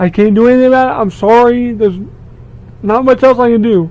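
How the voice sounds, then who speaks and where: A man mumbles in a high voice with ordinary pitch variation. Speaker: gaming YouTuber. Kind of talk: casual vlog monologue. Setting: basement room at home. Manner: halting, repeats words.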